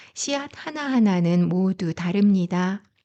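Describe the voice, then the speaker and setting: A soft-spoken woman's medium-pitched voice, dark and mellow with a calm tone and lively intonation, at a fairly slow pace over a quiet background. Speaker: essay narrator and wine lecturer; parent. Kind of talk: calm bedtime essay reading. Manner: soft-spoken, calm.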